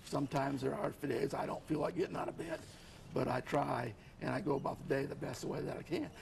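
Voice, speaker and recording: A man talks fairly quickly, noticeable background noise audible throughout. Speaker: author with multiple sclerosis. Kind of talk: TV interview.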